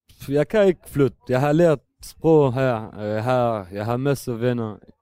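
A man's medium-pitched voice with a dark, mellow tone and a non-native accent, ordinary pitch variation, a very slow pace, and a dry, close sound with no echo. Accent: non-native Danish. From Syria, Damascus. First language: Arabic (speaking Danish). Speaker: refugee and drug user. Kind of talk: interview. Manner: halting.

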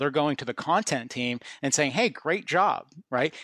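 This man has a normal speaking voice, fairly high in pitch with ordinary variation, talking at a fairly quick pace in a very clean recording with a silent background and a dry, close sound with no echo. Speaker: podcast ad tech guest. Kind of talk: interview conversation.

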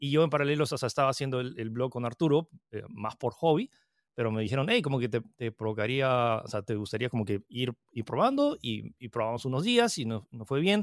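On a very clean recording with a silent background and a dry, close sound without echo, a man speaks in a plain, everyday voice at a medium pitch and fairly quick pace, with ordinary pitch variation. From Peru. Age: 30s. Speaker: tech content creator. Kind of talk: interview.

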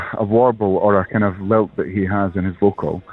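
Background music can be heard. Over it, a man delivers his words at a moderate speed. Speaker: singer and performer. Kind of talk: radio interview.

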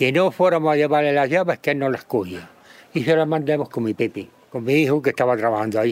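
Lively intonation from a man at a very fast pace and a fairly high pitch. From Granada, Andalusia. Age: 80s+. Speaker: retired farmer. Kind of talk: interview.

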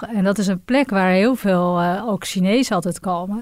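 Speaking in an unremarkable speaking voice, a woman talks at a moderate pace with a medium pitch and ordinary pitch variation. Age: 40s. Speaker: businesswoman, travel agency director. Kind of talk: interview.

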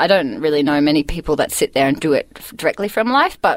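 This speaker's intonation moves in a lively way. No echo colors the dry, close sound. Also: woman. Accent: Australian. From Australia, northern New South Wales and Queensland. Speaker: painter. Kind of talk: casual interview.

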